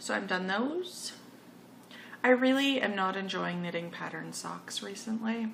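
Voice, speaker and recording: Speaking at a fairly slow pace, a woman is heard with audible echo from the room. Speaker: knitting podcaster. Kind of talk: casual monologue. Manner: hesitant, many fillers.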